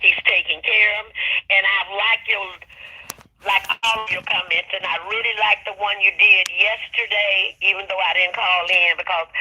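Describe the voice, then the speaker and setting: With noticeable background noise behind her, a woman talks at a moderate pace with fairly even intonation. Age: 70s. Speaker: caller. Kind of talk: phone call-in chat.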